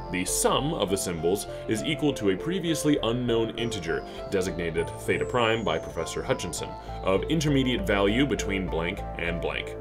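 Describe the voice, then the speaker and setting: The delivery keeps a moderate pace. Music can be heard behind it. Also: man. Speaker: voice actor. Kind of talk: horror fiction reading.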